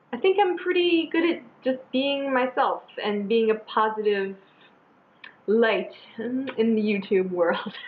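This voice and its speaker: The speaker moves at a fairly slow pace with very wide pitch swings over noticeable background noise. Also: woman, high pitch for a woman. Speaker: beauty vlogger. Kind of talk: casual chat.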